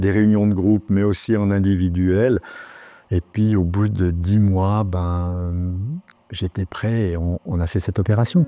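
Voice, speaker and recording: The speaker is a man with a very deep, low pitch. He talks very slowly. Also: fairly even intonation. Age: 60s. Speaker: retired journalist, patient. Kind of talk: interview testimony. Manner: hesitant, with fillers.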